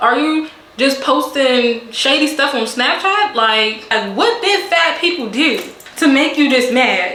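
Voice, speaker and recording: With noticeable background noise and audible room echo, a woman speaks in a raised, projected voice at a high pitch with lively intonation. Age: 20s. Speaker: beauty and storytime vlogger. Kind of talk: casual storytime monologue. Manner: animated.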